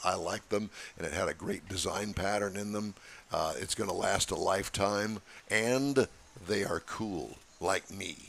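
Putting on a character voice, a man sounds gravelly and husky at a fairly low pitch, moving at a moderate pace with long, frequent pauses. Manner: smoky, bedroom-like.

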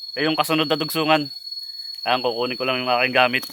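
A man talks with fairly even intonation while background noise is noticeable. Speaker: vlogger. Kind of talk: outdoor vlog narration. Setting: outdoors in a forest. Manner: casual, repetitive filler.

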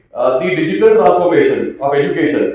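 A man's voice is heard with strong room echo. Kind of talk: formal speech. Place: hall. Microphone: podium.

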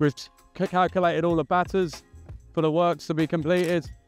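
Over faint background music, a man talks at a moderate pace in a high voice. The sound is dry with no echo, and his intonation is fairly even. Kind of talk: site tour explanation. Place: factory. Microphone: lapel.

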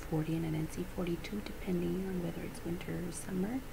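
A soft-spoken woman with a fairly low pitch talks over noticeable background noise. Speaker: beauty vlogger. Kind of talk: casual makeup review chat. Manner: soft-spoken, hushed ASMR voice. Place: home room. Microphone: webcam.

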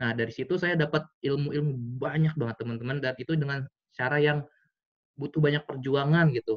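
A man with a fairly high voice speaks with fairly even intonation against a quiet background. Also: fairly quick pace. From Tangerang, Indonesia; Indonesia. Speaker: business mentor; guest. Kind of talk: online seminar talk. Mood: casual, motivational. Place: home room. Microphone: video call.

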